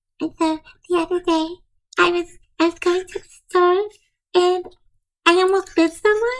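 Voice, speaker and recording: The speaker uses a put-on character voice at an extremely high pitch. Long, frequent pauses break up the delivery. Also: moderate pace. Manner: creepy.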